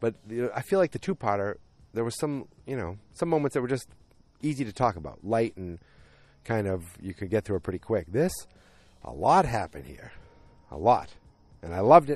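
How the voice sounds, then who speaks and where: Over a quiet background, a man with vocal fry talks at a fairly quick pace, with very wide pitch swings, big swings in loudness, and long, frequent pauses. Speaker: solo podcast host recapping a TV series. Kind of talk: casual solo recap monologue. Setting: outdoors near home. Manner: rambling; animated, does impressions of characters.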